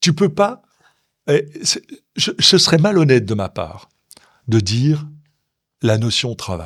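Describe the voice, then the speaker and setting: A man's somewhat breathy, fairly high voice at a very slow pace, with very wide pitch swings and long, frequent pauses, in a very clean recording with a silent background. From Belgium, Brussels area. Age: 60s. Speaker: chocolatier and entrepreneur. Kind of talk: interview. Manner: animated.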